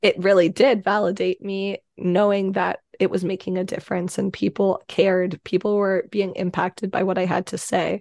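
With hardly any pauses, a woman in a Canadian accent speaks in a monotone, flat intonation, recorded with a dry, close sound and no echo. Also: medium pitch for a woman, moderate pace. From Canada. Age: 20s. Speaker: mental health advocate. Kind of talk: interview.

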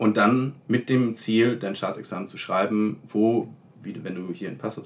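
This man has a plain, everyday voice and speaks at a moderate pace. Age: 20s. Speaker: law student. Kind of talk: casual interview.

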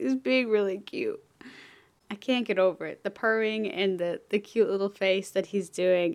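A woman uses a plain, everyday voice at medium pitch, moving at a moderate pace with ordinary pitch variation against a quiet background. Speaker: podcast host. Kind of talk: casual chat. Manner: casual, with many fillers and laughs.

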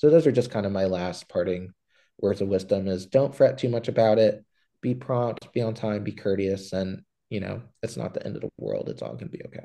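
Fairly low in pitch, a man speaks at a fairly quick pace with a dark, mellow tone and vocal fry. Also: ordinary pitch variation, big swings in loudness. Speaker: medical student podcast host. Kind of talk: casual chat.

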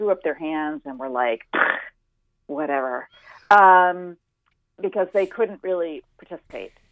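With a normal speaking voice at medium pitch, a woman talks at a moderate pace with lively intonation. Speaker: health journalist. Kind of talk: radio interview.

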